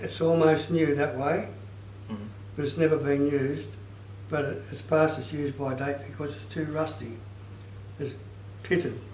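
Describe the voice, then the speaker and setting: A man's fairly high, somewhat breathy voice at a moderate pace, with ordinary pitch variation, big swings in loudness and long, frequent pauses. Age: 80s+. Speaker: retired joiner. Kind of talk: instructional talk, saw sharpening lesson.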